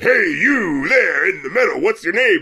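In a put-on character voice, a man speaks at an extremely high pitch with a raised, projected voice at a moderate pace. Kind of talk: announcer.

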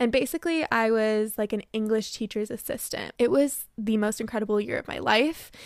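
An ordinary speaking voice moves at a fairly quick pace with hardly any pauses. Its pitch variation is ordinary. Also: woman, fairly high pitch for a woman. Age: 20s. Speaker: kindergarten teacher and podcast host. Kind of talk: casual monologue.

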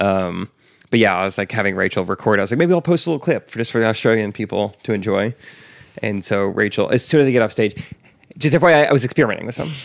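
This man talks at a very fast pace with an American accent. His medium-pitched voice has lively intonation. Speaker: podcast host. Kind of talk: casual chat.

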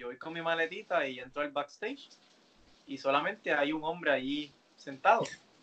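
A man's ordinary speaking voice at a fairly quick pace, with a fairly high pitch, ordinary pitch variation and big swings in loudness. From Puerto Rico, Carolina. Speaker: professional wrestler. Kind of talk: interview.

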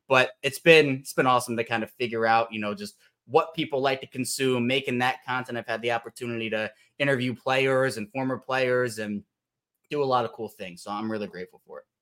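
A man with an American accent and an ordinary speaking voice talks at a fairly quick pace and medium pitch, with ordinary pitch variation, big swings in loudness, and a very clean recording over a silent background. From Baltimore, Maryland. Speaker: sports podcaster and writer. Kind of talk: casual chat.

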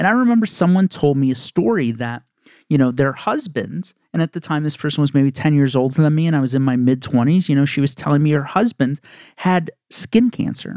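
On a very clean recording with a silent background, a man with an unremarkable speaking voice talks fairly quickly at a fairly high pitch. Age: 30s. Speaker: podcast host and insurance agent. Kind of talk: solo podcast monologue. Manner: casual, conversational.

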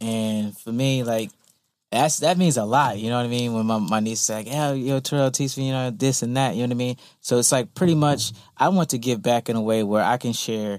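A man with an unremarkable speaking voice, medium pitch and ordinary pitch variation, at a fairly quick pace on a very clean recording with a silent background. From Virginia Beach area. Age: 30s. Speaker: visual artist. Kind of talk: casual interview.

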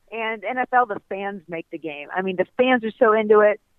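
Here is a woman with an American accent and a normal speaking voice. Her pitch is fairly high, with ordinary variation. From US Midwest (Ohio). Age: 20s. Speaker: golf broadcaster. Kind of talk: interview. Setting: phone call.

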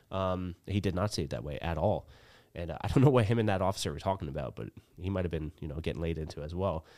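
At a very fast pace and in an American accent, the speaker uses lively intonation and vocal fry on a very clean recording with a silent background. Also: man, very deep, low pitch for a man. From central New Jersey. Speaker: barber and grooming business owner. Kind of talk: casual chat.

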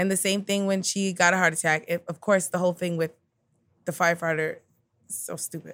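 An American accent comes through in an animated tone at a fairly quick pace. The recording is very clean, with a silent background. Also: woman, fairly low pitch for a woman. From New York (Queens). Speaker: comedian. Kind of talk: casual chat.

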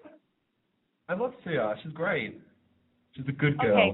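A man with an Australian accent speaks at a fairly slow pace in a fairly high voice, his pitch swinging very widely and his loudness rising and falling sharply. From Perth, Australia. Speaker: radio call-in listener. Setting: internet call, bad connection.

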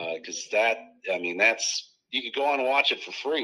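The speaker is a man with a Midwestern American accent. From US Midwest, Iowa. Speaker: comedian. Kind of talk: casual chat.

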